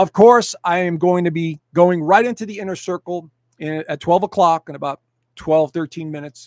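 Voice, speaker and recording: With a dry, close sound and no echo, a man speaks at a high pitch with fairly even intonation. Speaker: astrologer. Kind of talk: live stream presentation. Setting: live stream. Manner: fast.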